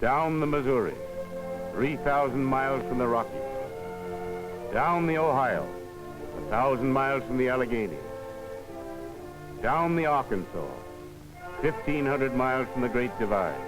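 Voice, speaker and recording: Over music in the background, a speaker with an American accent uses lively intonation and takes long, frequent pauses. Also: man, medium pitch for a man, moderate pace. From United States. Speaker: documentary narrator. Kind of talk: documentary narration. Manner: rhythmic, poetic.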